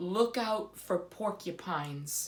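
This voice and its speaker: The voice is a put-on character. It sits at a middle pitch. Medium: read story. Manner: mournful, melodramatic.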